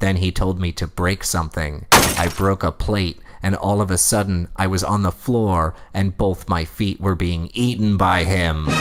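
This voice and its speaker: Putting on a character voice, a man speaks with a very deep, low pitch in a deadpan, serious tone at a moderate pace. Clear background noise and sound effects play behind him. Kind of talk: creepypasta reading. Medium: read story. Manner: deadpan, mock-serious.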